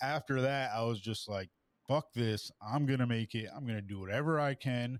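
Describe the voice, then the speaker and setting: A man talks at a moderate pace in an ordinary speaking voice. The very clean recording has a silent background and a dry, close sound with no echo. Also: medium pitch for a man, ordinary pitch variation. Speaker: vlogger and former correction officer. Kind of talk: interview. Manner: casual, filler-heavy.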